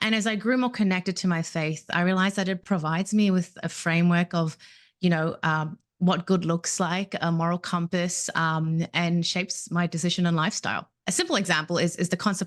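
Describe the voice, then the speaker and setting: Fairly low in pitch, a woman with an Australian accent talks at a fairly quick pace with fairly even intonation. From Australia, Melbourne. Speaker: compliance professional. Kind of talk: podcast interview.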